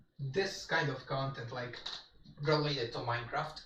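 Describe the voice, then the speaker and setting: A man with a fairly high pitch, with audible room echo. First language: Polish. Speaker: gaming streamer. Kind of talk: casual live-stream chat.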